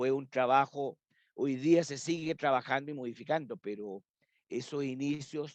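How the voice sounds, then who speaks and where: Using an ordinary speaking voice, a man talks at a fairly slow pace. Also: dry, close sound with no echo. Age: 60s. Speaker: librarian and university academic. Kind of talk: interview conversation.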